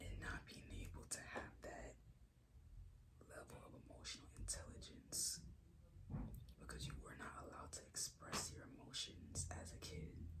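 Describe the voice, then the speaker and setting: Whispering at a moderate pace, the speaker leaves long, frequent pauses. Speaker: ASMR creator. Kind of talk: ASMR whispered talk to camera. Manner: soft whispered.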